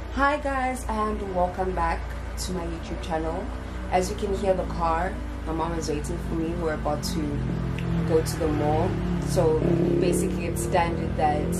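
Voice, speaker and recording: Loud background noise fills this clip of a woman who pauses long and often. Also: moderate pace. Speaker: vlogger. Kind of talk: casual vlog chat. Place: kitchen. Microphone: phone near.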